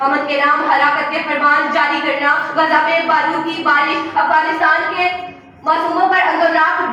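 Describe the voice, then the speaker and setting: Over noticeable background noise, a woman uses a raised, projected voice at an extremely high pitch. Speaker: law student. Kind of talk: debate speech. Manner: emotional, powerful, expressive.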